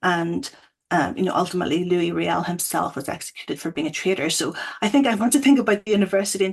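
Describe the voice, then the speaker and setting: A woman in a Northern Irish accent, fairly low in pitch, with lively intonation at a very fast pace. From Northern Ireland. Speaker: academic. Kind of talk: panel discussion.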